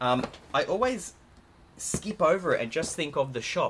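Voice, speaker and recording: A man speaks with an Australian accent over noticeable background noise. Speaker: LEGO YouTuber. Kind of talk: product haul video. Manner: animated. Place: home room.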